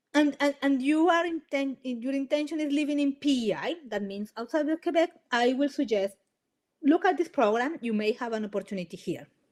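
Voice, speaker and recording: Speaking at a fairly quick pace with a Spanish accent, a woman uses a high pitch and lively intonation. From Colombia. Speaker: immigration lawyer. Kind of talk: webinar presentation. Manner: halting, many restarts.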